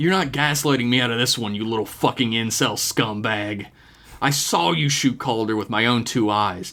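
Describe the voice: Ordinary pitch variation in a plain read-aloud delivery.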